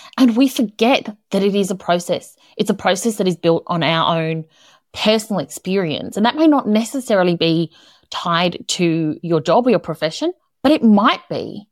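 A woman speaks at a medium pitch and moderate pace in an unremarkable speaking voice, recorded very cleanly against a silent background with a dry, close sound and no echo. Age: 40s. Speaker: podcast host, property and construction professional. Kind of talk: solo advice talk.

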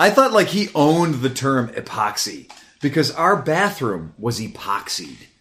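Speaking at a fairly slow pace, a man with an American accent has a fairly high pitch, vocal fry and very wide pitch swings. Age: 30s. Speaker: motorcycle podcast host. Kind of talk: casual chat. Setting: studio.

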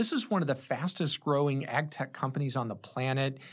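On a very clean recording with a silent background, a man with medium pitch speaks at a fairly quick pace in an unremarkable speaking voice. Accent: American. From St. Louis metro, Illinois side (Granite City). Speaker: tech company co-founder and CEO. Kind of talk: interview conversation.

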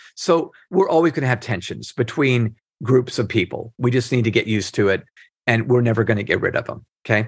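Talking fairly quickly, this man sounds somewhat breathy. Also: medium pitch for a man, ordinary pitch variation. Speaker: leadership author and nonprofit founder. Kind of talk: interview.

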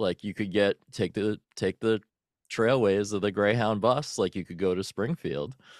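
A normal speaking voice from a man, fairly low in pitch, fairly slow, with ordinary pitch variation and a dry, close sound with no echo. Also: quiet background. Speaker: podcast host. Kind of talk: casual interview chat.

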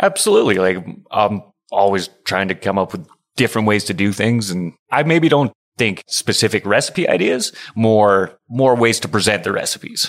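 In a normal speaking voice, the speaker keeps a moderate pace with ordinary pitch variation. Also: man, fairly low pitch for a man. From Alberta, Canada (Stony Plain). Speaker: head brewer. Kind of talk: casual interview chat. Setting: on location at a brewery.

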